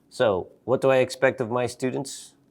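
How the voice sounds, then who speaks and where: A man speaks with an American accent at a fairly slow pace. The recording is very clean, with a silent background. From US, Seattle. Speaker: English teacher. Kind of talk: interview monologue.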